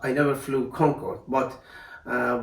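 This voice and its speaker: At a fairly slow pace, a man talks at medium pitch in a monotone, flat intonation, with noticeable background noise and audible room echo. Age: 60s. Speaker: retired airline pilot. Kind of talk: interview testimony. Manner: halting, many fillers.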